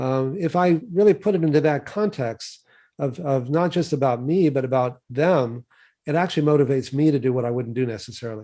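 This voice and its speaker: A man with an American accent talks at a fairly quick pace in a fairly high pitch with ordinary pitch variation. His tone is dark and mellow, and the background is quiet. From Texas. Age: 60s. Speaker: physician and health researcher. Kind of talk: interview.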